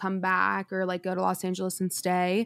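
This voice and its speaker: An ordinary speaking voice, a woman with an American accent, medium pitch and fairly quick pace. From Denver, Colorado. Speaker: singer. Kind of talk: casual chat.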